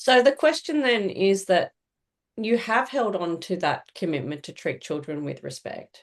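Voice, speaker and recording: Against a quiet background, a woman with an Australian accent speaks at a fairly slow pace, her pitch swinging very widely. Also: medium pitch for a woman, big swings in loudness. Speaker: social worker. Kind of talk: interview. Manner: halting.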